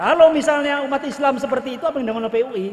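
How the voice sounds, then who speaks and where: Over noticeable background noise, a man talks at a very fast pace with a strong West Javanese accent. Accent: thick Indramayu Javanese. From Indramayu, West Java, Indonesia. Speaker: senior police officer. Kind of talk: ceremonial speech. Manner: hurried.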